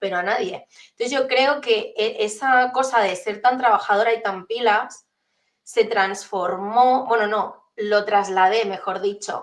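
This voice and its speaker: A woman speaks at a fairly slow pace with a fairly high pitch and fairly even intonation. It is a plain, everyday voice. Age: 30s. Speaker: entrepreneur and transformation coach. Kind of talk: interview conversation.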